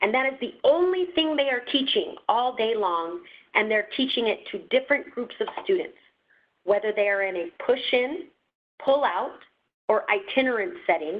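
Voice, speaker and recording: Her pitch swinging very widely, a woman speaks at a fairly slow pace. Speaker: education data trainer. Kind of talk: webinar training presentation. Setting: webinar. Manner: hesitant, with fillers; slurring words.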